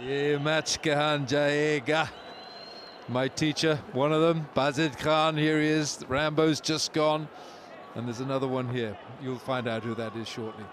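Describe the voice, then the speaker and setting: Fairly high-pitched man with a Welsh accent, speaking at a fairly slow pace. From Wales. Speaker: cricket commentator. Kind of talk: live commentary. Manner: animated.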